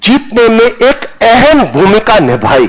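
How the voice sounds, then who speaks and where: With noticeable background noise behind him, a man in a Punjabi accent speaks with very wide pitch swings. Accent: Punjabi-accented Hindi pronunciation. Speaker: retired army general. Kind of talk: lecture. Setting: classroom with students.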